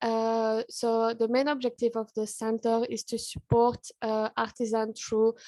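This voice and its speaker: Her fairly high pitch stays in a monotone, flat intonation as this woman talks at a fairly slow pace, with a dark, mellow tone and a dry, close sound with no echo. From Belgium. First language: French. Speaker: charity partnership worker. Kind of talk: presentation at online event.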